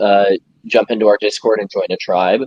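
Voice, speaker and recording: Speaking with an American accent at a moderate pace, a man has an unremarkable speaking voice at medium pitch, the sound dry and close with no echo. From New York City. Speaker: game studio co-founder. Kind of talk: interview.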